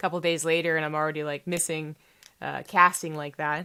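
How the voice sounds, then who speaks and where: The recording is very clean, with a silent background. A woman speaks at a very fast pace with a very deep, low pitch and fairly even intonation. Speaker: esports commentator. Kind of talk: casual talking-head vlog. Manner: halting with fillers.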